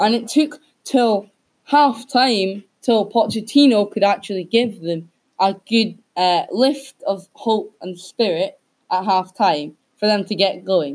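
A woman speaks at a very slow pace and a fairly high pitch. Her intonation is lively. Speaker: podcast host. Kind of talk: casual chat. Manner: halting, filler-heavy.

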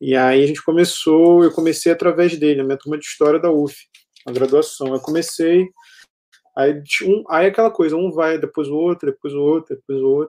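Speaking at a fairly quick pace, a man with a fairly high pitch and a dark, mellow tone keeps his intonation fairly even. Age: 30s. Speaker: history professor and researcher. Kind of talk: interview. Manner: halting, many repetitions.

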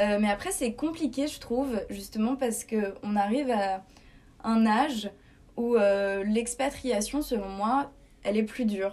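A normal speaking voice from a woman, fairly high in pitch, fairly slow, with ordinary pitch variation. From France, Paris. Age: 20s. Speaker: student expat. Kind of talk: casual interview.

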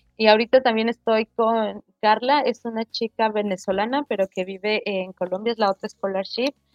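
A woman with an ordinary speaking voice talks with hardly any pauses. Her intonation is fairly even. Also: fairly high pitch for a woman, moderate pace. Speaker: web3 developer. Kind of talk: casual interview. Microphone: unstable internet connection.

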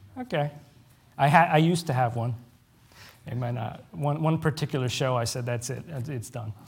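A man's somewhat breathy, medium-pitched voice at a moderate pace, with ordinary pitch variation and long, frequent pauses. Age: 30s. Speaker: preacher. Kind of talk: sermon. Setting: church with congregation.

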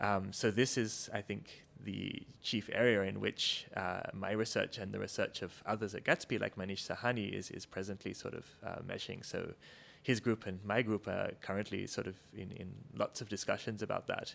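A man's fairly low voice with vocal fry, fairly even intonation and a moderate pace, on a very clean recording with a silent background. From Australia. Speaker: professor. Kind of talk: interview.

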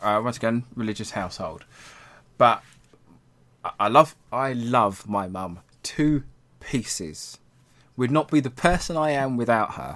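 In a very clean recording with a silent background, a man with an English accent speaks at a fairly slow pace, his medium pitch moving in lively intonation. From England. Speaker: tarot reader and Satanist. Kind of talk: casual chat.

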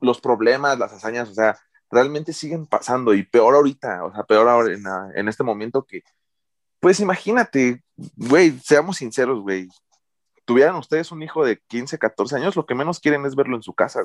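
A man with an unremarkable speaking voice, medium pitch, lively intonation, big swings in loudness and a moderate pace, in a dry, close sound with no echo on a very clean recording with a silent background. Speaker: teacher, podcast co-host. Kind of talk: casual chat.

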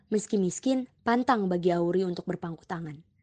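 In a dry, close recording with no echo, a woman speaks fairly quickly with lively intonation and a dark, mellow tone. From Jakarta. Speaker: podcast co-host. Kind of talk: scripted history narration with banter. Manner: casual, upbeat.

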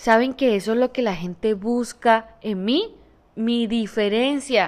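This woman's voice sits high in pitch and has an animated tone. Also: very clean recording, silent background. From Colombia, Santander. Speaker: podcaster and entrepreneur. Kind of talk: motivational monologue.

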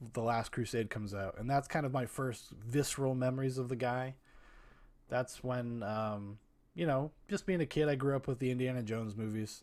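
Recorded very cleanly against a silent background, a man has a plain, everyday voice. He speaks at a moderate pace with a medium pitch and ordinary pitch variation. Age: 30s. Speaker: podcast host. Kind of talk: solo movie podcast monologue. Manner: casual, rambling with filler words.

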